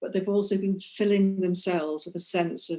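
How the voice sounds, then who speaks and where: With a dark, mellow tone and fairly even intonation, a woman of medium pitch speaks at a moderate pace. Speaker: life coach, author on mindful bread baking. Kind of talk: interview answer. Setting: video call.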